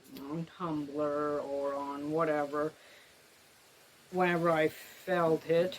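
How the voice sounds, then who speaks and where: Against noticeable background noise, a woman speaks at a very slow pace with long, frequent pauses. Her pitch is very deep and low, and her intonation is monotone and flat. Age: 30s. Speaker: writer. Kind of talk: casual chat. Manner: halting.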